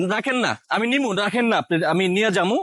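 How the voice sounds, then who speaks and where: Bright, sharp tone from a male speaker, pitch varying in an ordinary way. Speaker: social experiment vlogger. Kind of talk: moral commentary to camera; street prank interview. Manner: pleading, repetitive.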